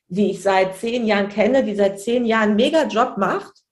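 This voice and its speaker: Audible room echo surrounds a woman talking at a fairly quick pace. Her pitch varies in an ordinary way. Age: 30s. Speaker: childcare manager and trainer. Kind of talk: casual interview.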